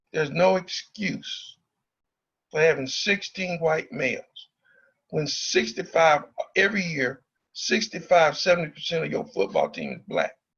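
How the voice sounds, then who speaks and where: A man speaks at a moderate pace with a high pitch. His pitch moves in an ordinary way, broken by long, frequent pauses. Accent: Southern US. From Arkansas (Pine Bluff). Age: 60s. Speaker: former student leader, speaker at forum. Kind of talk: public talk to students. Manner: animated.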